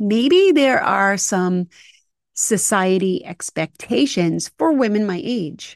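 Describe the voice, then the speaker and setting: Against a quiet background, a woman speaks very slowly with a dry, close sound and no echo. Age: 50s. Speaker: podcast host. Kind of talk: solo monologue.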